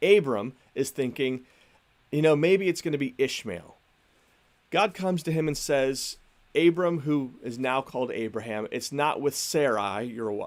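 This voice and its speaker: A man with a normal speaking voice talks at a moderate pace with fairly high pitch and lively intonation, on a very clean recording with a silent background. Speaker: pastor. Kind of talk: sermon.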